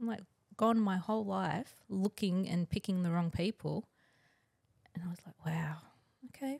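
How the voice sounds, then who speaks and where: With an Australian accent, a somewhat breathy woman speaks at a medium pitch and moderate pace, with ordinary pitch variation and long, frequent pauses, in a dry, close sound with no echo. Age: 40s. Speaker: twin flame guest, Reiki practitioner. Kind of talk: casual chat.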